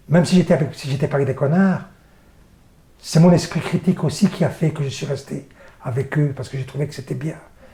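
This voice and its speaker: Over noticeable background noise, a man speaks at a fairly quick pace with fairly even intonation. Long, frequent pauses break up his speech. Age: 60s. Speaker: theatre and circus performer. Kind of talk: interview. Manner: halting, many repetitions.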